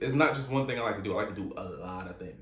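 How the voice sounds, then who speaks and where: Over noticeable background noise, a man's speech rushes along at a very fast pace. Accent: American. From Virginia. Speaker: podcast host. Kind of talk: casual monologue. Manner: halting.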